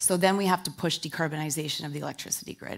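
A woman speaks in a very deep, low register with flat, monotone intonation against a quiet background. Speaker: corporate sustainability head. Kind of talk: panel discussion. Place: stage. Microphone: headset.

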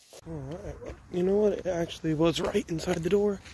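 The man's voice comes across somewhat breathy in a dry sound with no echo. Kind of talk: casual vlog chat. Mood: mildly annoyed. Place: street. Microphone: phone near.

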